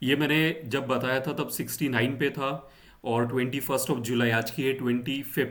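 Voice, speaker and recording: This man speaks at a medium pitch with monotone, flat intonation. His loudness stays very even. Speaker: stock market YouTuber. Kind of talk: market analysis tutorial. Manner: slow; hesitant, many fillers.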